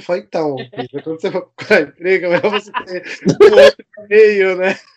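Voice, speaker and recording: A man speaks in a high voice. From Brazil, São Paulo. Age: 30s. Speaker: TV producer and pop music fan. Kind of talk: casual podcast interview.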